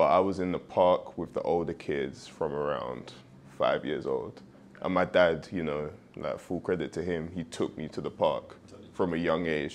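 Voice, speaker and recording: The speaker has a London accent and fairly even intonation. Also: man. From East London, England. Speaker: professional football player. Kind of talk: podcast interview.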